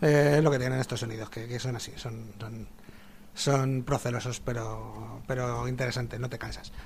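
A man's somewhat breathy, medium-pitched voice, flat and monotone, at a moderate pace. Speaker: radio host. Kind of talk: casual chat. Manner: hesitant. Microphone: a bit far from the microphone.

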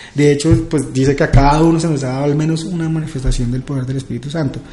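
A man rattles along at a very fast pace with fairly even intonation, with noticeable background noise. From Colombia, Villavicencio. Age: 30s. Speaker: youth pastor. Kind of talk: casual chat. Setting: office.

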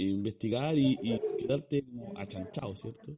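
A man with a Chilean accent and a dark, mellow tone. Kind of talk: casual chat.

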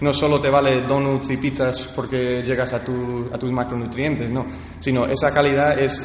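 At a moderate pace, a man speaks in a medium pitch with monotone, flat intonation, amid noticeable background noise and audible room echo. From California, US and Badajoz, Spain. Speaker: athlete and CrossFit gym owner. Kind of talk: interview. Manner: halting, many fillers and repetitions.

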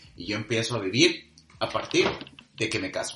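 A man is heard over noticeable background noise. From Monterrey, northern Mexico. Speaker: podcast co-host. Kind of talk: casual chat.

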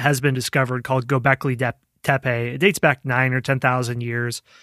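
In a very clean, dry and close recording with no echo and a silent background, a man with a plain, everyday voice talks fairly quickly at a medium pitch. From Iowa, US Midwest. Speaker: history podcast host. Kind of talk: podcast interview.

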